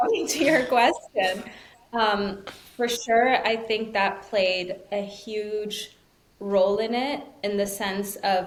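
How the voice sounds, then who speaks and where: Speaking at a very slow pace, a woman uses a fairly high pitch with ordinary pitch variation. Audible room echo and noticeable background noise surround her voice. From Switzerland, Zurich. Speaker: tarot reader and entrepreneur. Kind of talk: casual interview chat. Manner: animated.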